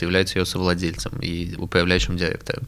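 A man rattles off his words at a very fast pace. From Moscow, Russia. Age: 20s. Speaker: education entrepreneur. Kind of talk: interview.

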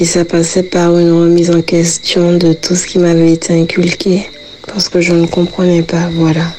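Over noticeable background noise, a woman speaks at a moderate pace with a fairly low pitch, monotone, flat intonation and very even loudness. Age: 30s. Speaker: faith testimony guest. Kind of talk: testimony. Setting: recorded interview.

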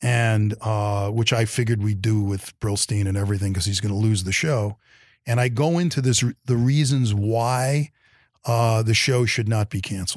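The voice belongs to a man with a New York accent. His pitch is medium. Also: ordinary pitch variation, moderate pace, very clean recording, silent background. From Brooklyn, New York. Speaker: television executive. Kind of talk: interview.

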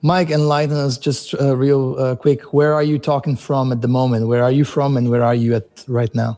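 In a Portuguese accent, a man with a dark, mellow tone and a fairly high pitch speaks at a moderate pace. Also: very clean recording, silent background. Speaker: podcast host. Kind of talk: casual interview chat.

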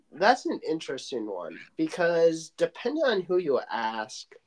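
In an American accent, a man with a fairly high pitch talks at a fairly slow pace with very wide pitch swings, the sound dry and close with no echo. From Michigan. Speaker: sports podcast host. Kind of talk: casual chat.

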